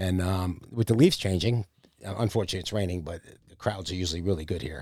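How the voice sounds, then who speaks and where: A man with an American accent, very fast pace, fairly low pitch and ordinary pitch variation on a very clean recording with a silent background. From Philadelphia / New Jersey. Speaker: food business owner and sponsor. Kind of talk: casual chat. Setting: outdoors at a park.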